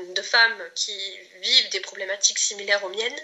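A woman speaks over noticeable background noise. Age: 30s. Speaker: client giving a testimonial, aspiring entrepreneur. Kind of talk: testimony. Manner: halting, many hesitations and repetitions.

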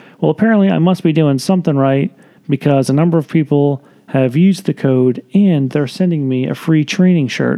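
A man speaks at a moderate pace in an ordinary speaking voice. His pitch is fairly high, with ordinary pitch variation. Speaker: podcast host. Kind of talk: casual chat. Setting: home recording with snoring pug.

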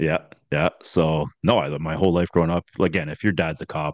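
In a dry, close recording with no echo and a quiet background, a man speaks with a very deep, low pitch and an Ontario accent. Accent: Canadian (Ontario). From Ontario, Canada (east of Toronto). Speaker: former police officer. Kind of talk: casual interview chat. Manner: animated.

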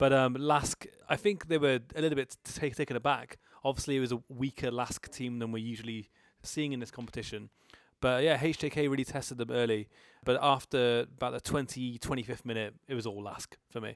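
On a very clean recording with a silent background, a man speaks with an English accent at a fairly quick pace. The sound is dry and close with no echo, and his intonation stays fairly even. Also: medium pitch for a man. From England. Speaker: football podcast co-host. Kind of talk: casual chat. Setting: hotel room.

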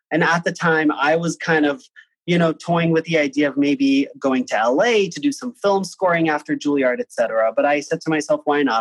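In a plain, everyday voice, a man speaks at a fairly high pitch and moderate pace with lively intonation. The sound is dry and close, with no echo. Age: 30s. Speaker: composer and music director. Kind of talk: casual chat.

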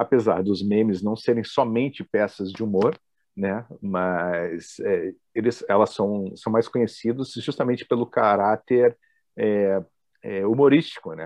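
Here a man talks at a medium pitch with ordinary pitch variation. He keeps a fairly slow pace. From Brasília, Brazil. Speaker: professor and entrepreneur. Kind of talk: casual interview chat.

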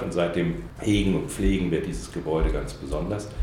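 Amid noticeable background noise and audible room echo, a man with a very deep, low pitch talks at a moderate pace. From Saarland, Germany. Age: 50s. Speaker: diplomat. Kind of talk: interview. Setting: in-person interview on camera. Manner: hesitant with many fillers.

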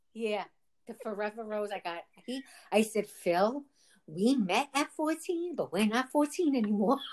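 In a plain, everyday voice, a woman speaks at a moderate pace with fairly high pitch and lively intonation. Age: 50s. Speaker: podcast co-host. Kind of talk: casual chat.

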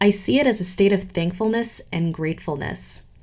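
Lively intonation is paired with vocal fry. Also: woman. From Geneva, Switzerland. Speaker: podcast host, personal growth. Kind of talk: scripted monologue.

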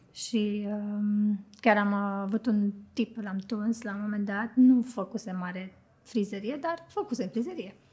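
A woman talks with a dark, mellow, somewhat breathy tone. Her pace is very slow and her pitch variation is ordinary. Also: medium pitch for a woman. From Romania, Bucharest. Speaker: hairstylist and makeup artist. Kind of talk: casual chat.

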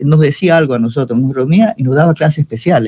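Dry and close with no echo, a man's fairly high, somewhat breathy voice carries a dark, mellow tone and lively intonation. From Panama, Chiriquí province (Los Algarrobos, David). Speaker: university professor and mycology researcher. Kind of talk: radio interview.

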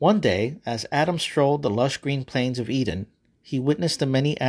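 Just plain reading aloud

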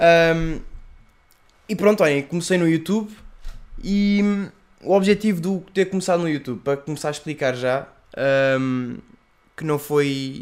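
A man with a high pitch and a European Portuguese accent, at a fairly slow pace with long, frequent pauses. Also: ordinary pitch variation. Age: 20s. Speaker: YouTuber and podcast host. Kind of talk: casual solo podcast monologue.

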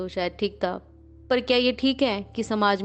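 A woman talks at a moderate pace. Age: 30s. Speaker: doctor and government employee sharing her mental health story. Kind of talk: personal testimony. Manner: halting, many pauses and fillers.

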